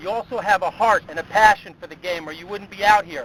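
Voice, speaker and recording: A man's high-pitched voice with ordinary pitch variation amid noticeable background noise. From upstate New York (East Greenbush). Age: 50s. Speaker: motivational speaker, sports consultant. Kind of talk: motivational speech.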